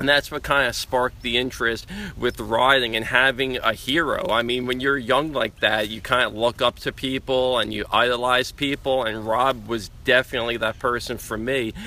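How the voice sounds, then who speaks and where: With a New York accent, a man speaks in an enthusiastic tone at a moderate pace and medium pitch. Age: 40s. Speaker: BMX rider and endurance cyclist. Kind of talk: casual interview. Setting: outdoors.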